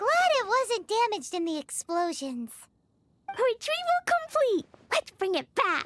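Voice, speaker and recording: An extremely high, put-on character voice delivers its lines at a moderate pace. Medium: video game. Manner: bright, chatty.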